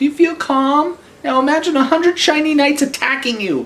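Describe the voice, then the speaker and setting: A put-on character voice, squeaky and high-pitched, comes across with a timid tone. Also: fairly quick pace. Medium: read story. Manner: stammering, timid.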